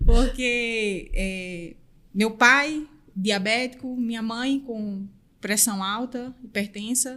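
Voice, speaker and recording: A woman's fairly high, bright and sharp voice with a northeastern Brazilian accent, very slow delivery and ordinary pitch variation. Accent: northeastern Brazilian accent, noticeable. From Northeast Brazil, interior of Pernambuco. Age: 30s. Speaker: podcast guest, recruiter. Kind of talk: interview conversation.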